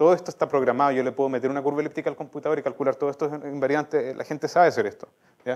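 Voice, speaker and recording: Against a quiet background, a man with a fairly high pitch talks at a very fast pace in a monotone, flat intonation. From southern Chile, La Unión (Los Ríos); Los Ríos, Chile. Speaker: mathematician; speaker. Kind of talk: lecture. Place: hall.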